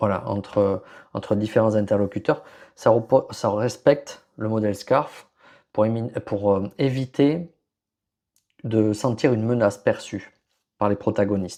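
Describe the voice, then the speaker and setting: A man talks at a fairly slow pace with long, frequent pauses. His fairly low voice has a dark, mellow tone and ordinary pitch variation. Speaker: podcast host, HR and leadership consultant. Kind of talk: solo podcast presentation. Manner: hesitant, many fillers and restarts.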